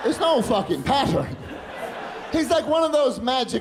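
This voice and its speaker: Ordinary pitch variation marks a man's voice. Audible room echo and noticeable background noise come through in the recording. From Northern Ireland and London. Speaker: stand-up comedian. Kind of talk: stand-up. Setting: stage with audience.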